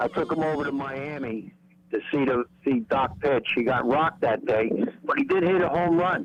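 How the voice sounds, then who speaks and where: A man's fairly high voice, lively in intonation and very even in loudness, over noticeable background noise. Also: moderate pace. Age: 70s. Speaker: caller. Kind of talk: casual chat. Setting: phone call.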